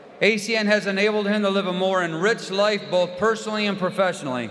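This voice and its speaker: Against noticeable background noise, a man with a high pitch speaks at a fairly quick pace and fairly even intonation. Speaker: event announcer. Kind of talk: stage introduction.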